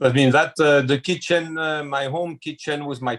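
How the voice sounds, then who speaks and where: With a French accent, a man speaks at a fairly slow pace in a dry, close sound with no echo. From France, small village near Chartres. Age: 60s. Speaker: chef. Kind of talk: interview. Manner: hesitant, with frequent fillers.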